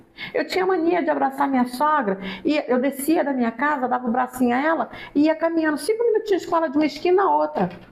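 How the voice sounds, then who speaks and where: A woman talks fairly quickly, swinging her pitch very widely. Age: 60s. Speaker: psychologist. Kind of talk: interview.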